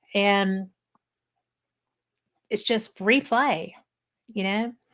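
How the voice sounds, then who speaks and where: An ordinary speaking voice from a woman with an American accent, medium pitch and ordinary pitch variation. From US Midwest, Wisconsin. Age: 60s. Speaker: paranormal talk show host. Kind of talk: casual interview chat.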